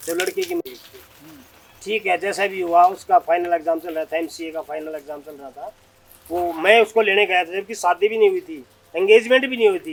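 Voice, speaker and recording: There is noticeable background noise in this clip. Over it, a man talks at a moderate pace. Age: 60s. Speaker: retired army officer, yoga guru. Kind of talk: interview answer.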